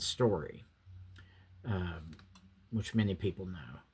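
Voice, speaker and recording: Somewhat breathy, with an American accent and lively intonation, the voice sits in a very clean recording with a silent background. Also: man. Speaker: YouTuber. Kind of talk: casual reminiscing monologue. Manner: halting, many fillers.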